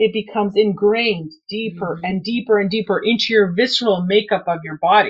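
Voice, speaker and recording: A woman speaks at a fairly quick pace, with hardly any pauses. Her medium-pitched voice is somewhat breathy and fairly even in intonation. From Canada. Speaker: runner. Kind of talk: interview.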